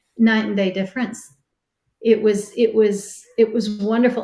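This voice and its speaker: A woman with a medium pitch speaks at a moderate pace in a dark, mellow, somewhat breathy tone. Her intonation is monotone and flat. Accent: American. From Texas. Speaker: scuba instructor trainer. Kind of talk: training session discussion.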